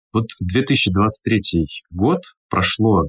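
The background stays quiet as a man talks in a somewhat breathy voice. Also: dry, close sound with no echo. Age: 30s. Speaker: podcast host, event host and speaking mentor. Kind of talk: casual podcast chat.

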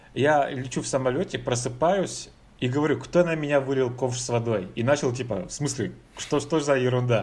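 Somewhat breathy, the man speaks at a moderate pace with a medium pitch and ordinary pitch variation. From Russia. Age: 30s. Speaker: IT evangelist. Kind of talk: casual chat.

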